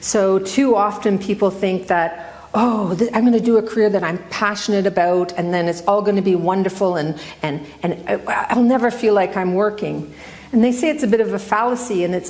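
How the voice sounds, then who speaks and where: In a Canadian accent, a woman talks at a moderate pace over noticeable background noise, with audible echo in the room. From central Ontario, Canada. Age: 60s. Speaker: retired newspaper editor. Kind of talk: public talk. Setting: stage with audience. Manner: conversational, self-correcting.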